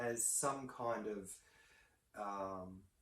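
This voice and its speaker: Here a man speaks with an Australian accent. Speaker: counsellor and commentator. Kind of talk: video commentary monologue. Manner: halting, many fillers.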